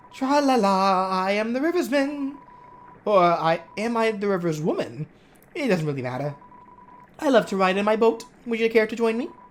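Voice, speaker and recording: In a put-on, sing-song character voice that sounds female, the speaker talks at a moderate pace and a fairly high pitch, with long, frequent pauses. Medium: game stream. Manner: singsong, meandering.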